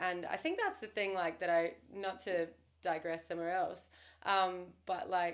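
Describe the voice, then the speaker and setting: A woman with an Australian accent speaks at a moderate pace and medium pitch in a flat monotone, with noticeable background noise. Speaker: real estate agent. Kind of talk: casual chat.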